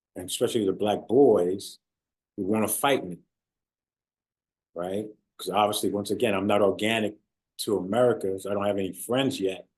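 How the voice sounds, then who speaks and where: A man talks at a fairly quick pace with fairly even intonation. Long, frequent pauses break up his speech. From born in London, England, raised in the US (New Rochelle, New York) from age eight. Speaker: former pro football player and author. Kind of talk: interview. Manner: hesitant, many fillers.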